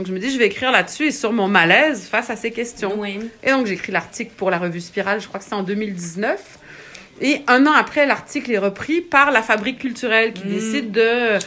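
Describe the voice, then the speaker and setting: Over noticeable background noise, a woman speaks with a Quebec accent. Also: fairly high pitch for a woman, ordinary pitch variation, moderate pace. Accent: Québécois French. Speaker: writer. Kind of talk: interview. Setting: at home.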